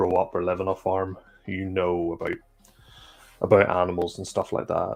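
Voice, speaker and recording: A man speaks with a Northern Irish accent in a very deep, low voice at a fairly quick pace. Music plays in the background. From Northern Ireland. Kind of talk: casual chat.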